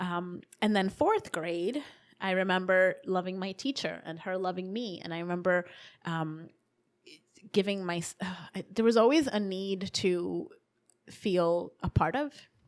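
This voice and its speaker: A woman with a Spanish accent speaks at medium pitch and a fairly slow pace, with long, frequent pauses and ordinary pitch variation, on a very clean recording with a silent background. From New York, raised from age 7; born in Dominican Republic. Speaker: human rights commission director and advocate. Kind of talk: interview conversation. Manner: animated.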